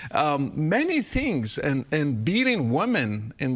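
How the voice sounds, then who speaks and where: In an Arabic accent, a man talks at a fairly high pitch. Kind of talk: interview.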